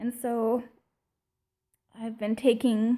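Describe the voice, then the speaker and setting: This woman speaks with a fairly high pitch and a somewhat breathy sound. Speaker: vlogger. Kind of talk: personal reflection vlog. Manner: casual, hesitant with fillers.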